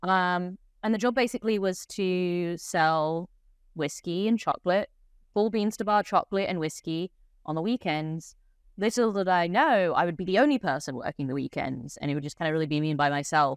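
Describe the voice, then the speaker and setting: At a fairly quick pace, a woman with a fairly low voice speaks with lively intonation on a very clean recording with a silent background. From England. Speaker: head distiller. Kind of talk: interview.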